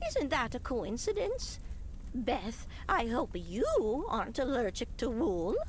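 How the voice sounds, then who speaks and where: A put-on character voice at a fairly high pitch and fairly slow pace, over clear background noise. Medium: video game.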